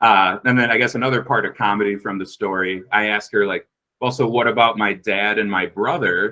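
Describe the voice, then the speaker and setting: With an American accent, a man speaks loudly at a fairly quick pace, his fairly low pitch carrying a bright, sharp tone and fairly even intonation. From US Midwest, Minnesota. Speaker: podcast guest telling a personal story. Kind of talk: casual storytelling.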